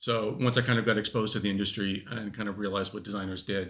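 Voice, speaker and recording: Very fast speech from a man with a Californian accent, fairly low in pitch, with vocal fry and ordinary pitch variation. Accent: Californian American. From California, US. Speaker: lead game designer. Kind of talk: panel interview. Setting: stage with live audience.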